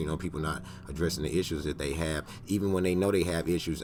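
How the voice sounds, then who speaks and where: A very fast pace with fairly even intonation. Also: man. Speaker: podcast host. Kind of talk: casual chat.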